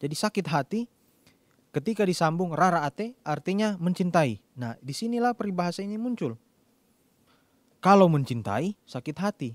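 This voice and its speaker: Recorded very cleanly against a silent background with a dry, close sound and no echo, a man speaks at a high pitch and moderate pace with lively intonation. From Minahasa, North Sulawesi, Indonesia. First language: Tombulu (Minahasa) (speaking Indonesian). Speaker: preacher. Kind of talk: sermon.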